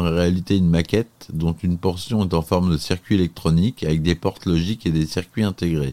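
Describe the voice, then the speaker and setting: A man's very deep, low-pitched voice with a dark, mellow tone. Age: 40s. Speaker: film reviewer. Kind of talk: solo film review podcast. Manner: hesitant, many filler sounds.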